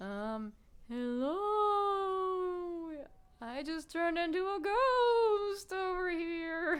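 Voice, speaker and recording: A put-on character voice at an extremely high pitch creeps along very slowly, broken by long, frequent pauses. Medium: solo performance. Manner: complaining.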